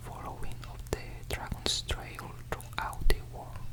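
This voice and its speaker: A man whispering amid noticeable background noise. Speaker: ASMR creator. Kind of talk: ASMR book reading. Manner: whispered.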